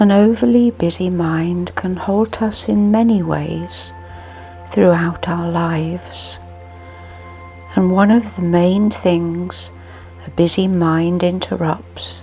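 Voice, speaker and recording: Music plays behind a woman who speaks at a very slow pace with long, frequent pauses. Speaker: meditation guide. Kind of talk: guided sleep meditation. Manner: slow, soft-spoken.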